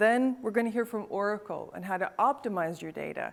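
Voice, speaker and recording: Speaking in a Canadian accent, a woman talks at a fairly quick pace and a fairly high pitch. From Northern Canada. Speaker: event host, innovation expert and author. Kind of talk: event presentation. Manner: animated.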